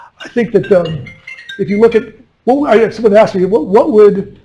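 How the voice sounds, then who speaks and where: A man with an American accent speaks in a high pitch with ordinary pitch variation, music playing in the background. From US West Coast. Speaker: commercial fisherman and fishery policymaker. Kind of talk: lecture.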